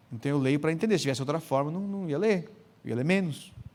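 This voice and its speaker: In an animated tone, a high-pitched man talks at a very fast pace. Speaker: pastor and biblical counseling speaker. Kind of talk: lecture. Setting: conference with audience.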